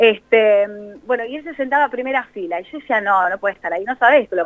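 At a fairly quick pace, a woman talks in an unremarkable speaking voice, fairly high in pitch, with ordinary pitch variation. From La Plata, Argentina. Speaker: TV news presenter. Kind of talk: casual interview.

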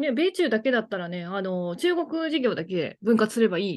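A woman at a fairly quick pace, with lively intonation and a quiet background. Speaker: podcast co-host, former banker. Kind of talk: casual chat. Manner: upbeat, high energy.

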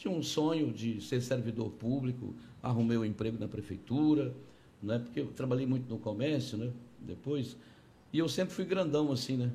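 Dark, mellow tone from a somewhat breathy man at medium pitch, with ordinary pitch variation at a moderate pace, and audible room echo. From Conceição do Araguaia, Pará, northern Brazil. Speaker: politician, gubernatorial candidate. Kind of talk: interview.

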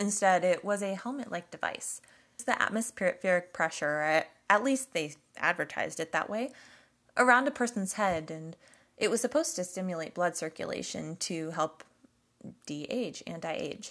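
Speaking at a moderate pace, a woman uses a normal speaking voice at medium pitch with lively intonation. The background is quiet. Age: 30s. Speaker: podcast host. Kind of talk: scripted narration.

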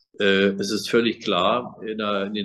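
A man's bright, sharp voice, fairly low in pitch, with fairly even intonation. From East Berlin, East Germany. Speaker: former politician, victims' association chair. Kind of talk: interview.

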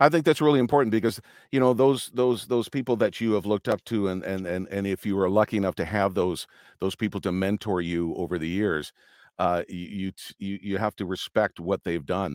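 A man speaks with a Canadian accent at a fairly quick pace, in a plain, everyday voice. The sound is dry and close, with no echo. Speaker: arena announcer and voiceover artist. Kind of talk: casual interview. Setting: video call.

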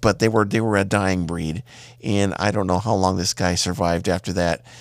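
A man's fairly low voice at a fairly quick clip, with ordinary pitch variation, in a very clean recording against a silent background. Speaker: podcast host. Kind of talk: casual monologue. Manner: hesitant with fillers.

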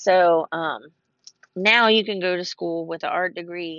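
A woman with an American accent talks in a fairly low voice and a fairly even intonation. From Ohio. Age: 40s. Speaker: podcast host. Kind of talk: casual chat. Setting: in a car.

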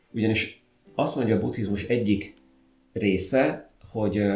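A man's somewhat breathy voice with a fairly low pitch. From Hungary, Szentes. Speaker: podcast host. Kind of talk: casual chat.

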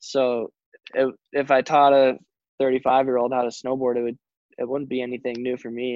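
Spoken at a moderate pace with an American accent, the voice stays monotone and flat, recorded dry and close with no echo. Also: man. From US, Colorado (Telluride). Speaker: professional snowboarder. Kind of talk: casual interview.

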